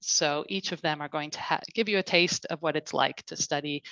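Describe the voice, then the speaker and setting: A woman speaks fairly quickly in a very deep, low voice with a bright, sharp tone and ordinary pitch variation. The sound is dry and close with no echo, over a quiet background. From Canada. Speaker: college marketing head. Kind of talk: online info session presentation.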